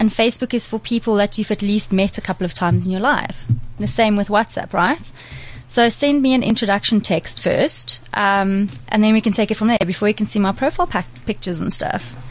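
A somewhat breathy woman's voice, medium in pitch, with lively intonation and a fairly quick pace. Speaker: PR and digital freelancer, blogger. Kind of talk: casual chat. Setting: studio.

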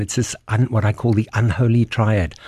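Somewhat breathy and dark, mellow in tone, a man's voice comes through dry and close with no echo over a quiet background. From South Africa. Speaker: doctor. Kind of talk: explanatory interview. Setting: studio.

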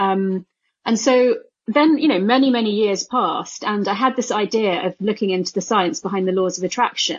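A woman's medium-pitched voice in a British accent, at a moderate pace with ordinary pitch variation. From UK, of Indian parents. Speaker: neuroscientist and author. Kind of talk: interview.

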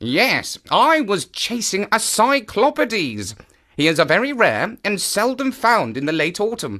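A man's put-on character voice, high-pitched, bright and sharp in tone, with very wide pitch swings at a fairly slow pace, on a very clean recording with a silent background

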